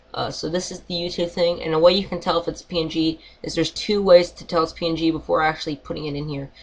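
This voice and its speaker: At a very fast pace with hardly any pauses, a woman speaks at a fairly low pitch in a monotone, flat intonation, with big swings in loudness. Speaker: YouTube tutorial maker. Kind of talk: tutorial. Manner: halting, many fillers.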